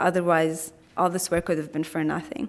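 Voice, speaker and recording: Here a woman is speaking. Her pace is fairly quick. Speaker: health equity coordinator, keynote speaker. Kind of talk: conference keynote talk. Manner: fast.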